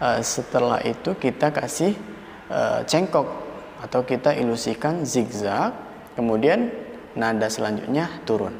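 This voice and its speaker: A man at medium pitch in a calm tone, against noticeable background noise. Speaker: adzan tutor. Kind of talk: adzan tutorial for beginners. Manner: calm, explanatory teaching tone.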